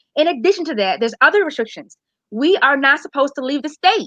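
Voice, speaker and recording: A woman speaks very fast in a high, bright, sharp voice that is raised and projected. The sound is dry and close, with no echo. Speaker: public health segment presenter. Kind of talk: casual live-stream talk. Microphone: unstable internet connection.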